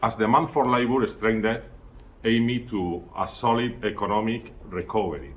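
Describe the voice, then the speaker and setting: Vocal fry at a moderate pace with ordinary pitch variation. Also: man, medium pitch for a man. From Spain. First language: Spanish. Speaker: student giving a presentation. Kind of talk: prepared presentation. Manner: halting, self-correcting.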